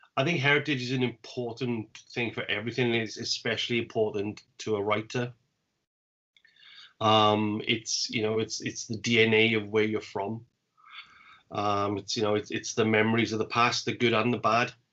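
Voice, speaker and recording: With a South Welsh accent, a man of medium pitch speaks at a moderate pace, leaving long, frequent pauses. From Wales. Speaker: poet and podcast host. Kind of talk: casual chat.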